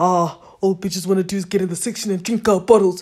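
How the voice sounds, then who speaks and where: In a put-on character voice, the speaker sounds whiny at a middle pitch, moving at a fairly quick pace with monotone, flat intonation. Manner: whiny, mocking.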